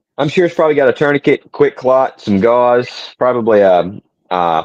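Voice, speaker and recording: In a Southern US accent, a man speaks at a moderate pace and medium pitch with lively intonation. The sound is dry and close with no echo, over a quiet background. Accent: soft Southern US. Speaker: podcast co-host. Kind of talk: casual chat. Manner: gentle, soft-spoken.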